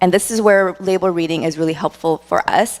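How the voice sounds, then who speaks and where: A loud woman with an American accent, talking at a very fast pace. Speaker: dietitian. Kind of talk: workshop talk.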